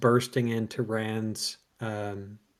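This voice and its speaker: Speaking at a very slow pace, a man talks with a Canadian accent. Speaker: podcast co-host. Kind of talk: casual chat. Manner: animated.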